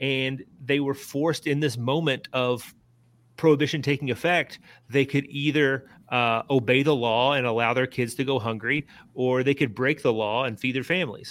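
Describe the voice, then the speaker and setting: An American-accented man at medium pitch, moderate in pace, with fairly even intonation. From central Kentucky (Lebanon, Marion County). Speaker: author and journalist. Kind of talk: interview. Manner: halting.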